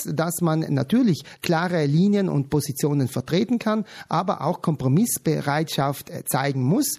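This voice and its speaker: At a fairly slow pace, a man speaks with lively intonation on a very clean recording with a silent background. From South Tyrol. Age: 40s. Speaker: patient advocate. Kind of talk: radio interview.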